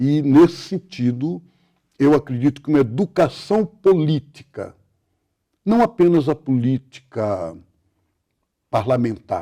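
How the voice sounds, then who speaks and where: This man's fairly high, dark and mellow voice swings very widely in pitch and moves at a very slow pace with long, frequent pauses. The sound is dry and close, with no echo. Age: 70s. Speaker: Benedictine monk and writer. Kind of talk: interview.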